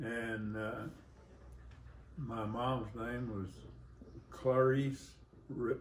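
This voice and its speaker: At a very slow pace with long, frequent pauses, a man with an Arkansas accent speaks at a medium pitch with fairly even intonation, with room echo audible. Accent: Southern US (Arkansas). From US South, rural Arkansas. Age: 80s+. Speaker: grandfather. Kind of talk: family interview. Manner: halting, hesitant.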